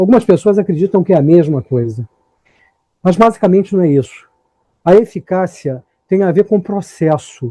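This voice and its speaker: A man's high voice in a dark, mellow tone, with lively intonation, long, frequent pauses and a dry, close sound with no echo. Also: moderate pace. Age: 60s. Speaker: motivational speaker. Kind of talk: lecture. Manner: animated.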